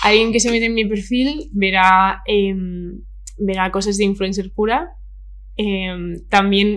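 In audible room echo, a woman with a medium pitch and fairly even intonation speaks at a very slow pace with long, frequent pauses. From Spain, Madrid (Vallecas). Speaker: influencer. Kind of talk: casual chat.

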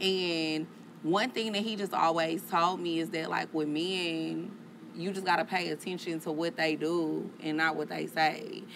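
A woman speaks in a fairly low pitch with fairly even intonation. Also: fairly slow pace. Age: 30s. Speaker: podcast host. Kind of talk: casual chat.

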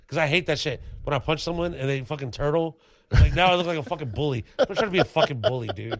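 A man's fairly high voice at a very fast pace, with lively intonation and vocal fry. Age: 30s. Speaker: stand-up comedian. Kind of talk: casual chat.

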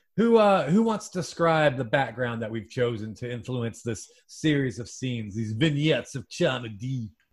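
A man speaks at medium pitch and a moderate pace with hardly any pauses. His animated tone is somewhat breathy, with lively intonation. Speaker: podcast host. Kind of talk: improv comedy podcast, casual banter. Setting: video call. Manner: animated, joking.

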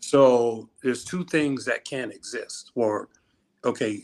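A man with a normal speaking voice talks fairly slowly at medium pitch. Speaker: reality show contestant. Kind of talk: casual chat. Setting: video call.

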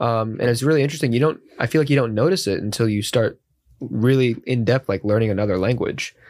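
A man at medium pitch talks at a very fast pace with ordinary pitch variation. The loudness is very even, on a very clean recording with a silent background. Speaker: college student. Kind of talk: casual chat. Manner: enthusiastic, casual.

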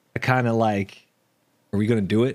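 Recorded very cleanly with a silent background, a man speaks at a moderate pace. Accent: American. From Texas. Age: 30s. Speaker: gaming streamer and content creator. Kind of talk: casual interview chat.

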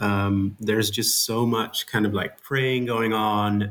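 On a very clean recording with a silent background, a man speaks in a fairly low pitch with monotone, flat intonation. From Netherlands. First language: Dutch. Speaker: author and game studies researcher. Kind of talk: interview. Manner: halting, many fillers.

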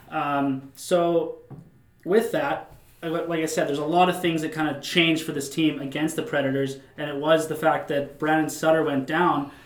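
Amid noticeable background noise, a man with a fairly high pitch speaks at a moderate pace. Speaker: podcast host. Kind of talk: casual sports podcast chat. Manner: animated.

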